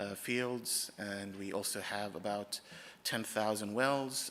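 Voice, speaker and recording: With an American accent, a man uses an ordinary speaking voice at a fairly low pitch and fairly even intonation. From Oman, raised abroad in international schools. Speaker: conference speaker, oil company IT manager. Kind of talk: conference presentation.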